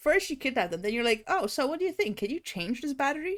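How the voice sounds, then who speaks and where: A woman with a non-native accent talks at a fairly quick pace and a high pitch, with very wide pitch swings. Her tone is animated, and the recording is very clean with a silent background. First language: not English. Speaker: VTuber streamer. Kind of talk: casual chat.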